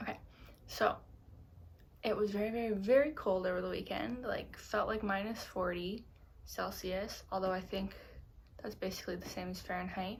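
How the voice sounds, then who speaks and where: A woman speaks at a moderate pace, leaving long, frequent pauses. Audible echo from the room surrounds her voice. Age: 20s. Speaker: knitting podcaster. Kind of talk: casual chat. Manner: hesitant, with pauses.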